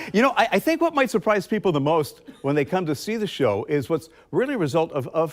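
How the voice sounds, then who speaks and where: His pitch rises and falls in very wide swings. The man talks with an American accent. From Philadelphia area, US. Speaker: radio host. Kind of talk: radio interview.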